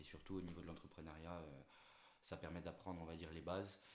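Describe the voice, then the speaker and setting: Someone with a Corsican accent speaks amid audible room echo. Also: man. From Corsica (Ajaccio). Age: 20s. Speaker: entrepreneur, agency owner. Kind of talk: interview. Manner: hesitant, many fillers.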